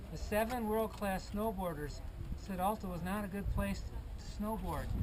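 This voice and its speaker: A man speaks at a moderate pace. Audible room echo and noticeable background noise come through. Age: 60s. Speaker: veteran skier interviewed. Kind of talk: casual street interview.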